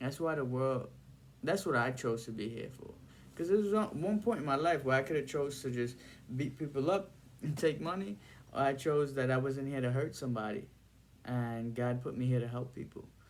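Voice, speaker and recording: Speaking fairly quickly, a man talks with a New York accent. His pitch is medium, with ordinary variation. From Brooklyn, New York (Bensonhurst), Trinidadian family. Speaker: video blogger. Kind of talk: casual monologue to camera. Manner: halting.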